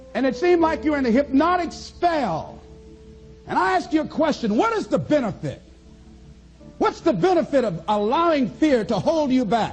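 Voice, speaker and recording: With music playing behind him, a man speaks at a moderate pace in an extremely high pitch that swings very widely. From American, Miami Florida. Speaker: motivational speaker. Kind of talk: motivational speech to an audience. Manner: high-energy, emphatic.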